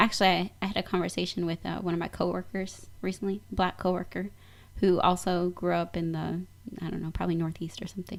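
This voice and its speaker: A woman's fairly low, flat, monotone voice at a very fast pace. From US Midwest. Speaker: radio show guest. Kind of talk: casual conversation.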